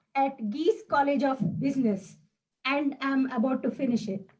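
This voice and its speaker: With music playing in the background, a woman speaks at a fairly slow pace in a high pitch. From South India. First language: Indian language (South Indian). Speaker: speech contestant. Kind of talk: prepared speech. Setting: video call.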